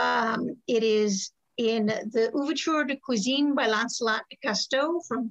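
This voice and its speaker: A woman at a fairly slow pace, ordinary pitch variation, quiet background. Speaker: historical cooking class teacher. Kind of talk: lecture. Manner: halting, many ums. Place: kitchen. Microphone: webcam.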